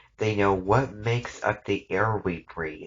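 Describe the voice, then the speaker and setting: A booming, put-on character voice from a man comes at a fairly slow pace. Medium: read story.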